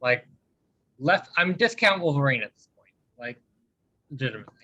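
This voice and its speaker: A man with an American accent, fairly high-pitched and bright, sharp in tone, fairly quick, with lively intonation and big swings in loudness. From central Ohio. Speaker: student. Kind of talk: class introductions on video call.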